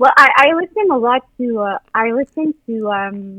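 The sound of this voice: A woman with a fairly high pitch talks at a fairly slow pace with lively intonation, in a dry, close sound with no echo.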